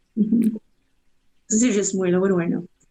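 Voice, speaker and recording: A woman at medium pitch speaks in a dark, mellow tone. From northern Ontario, West Nipissing. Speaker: graffiti artist. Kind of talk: podcast interview. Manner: animated.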